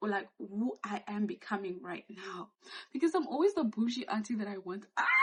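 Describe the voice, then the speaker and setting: A woman's somewhat breathy, fairly high-pitched voice with lively intonation at a moderate pace. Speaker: YouTuber. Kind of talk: casual vlog talk. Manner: animated.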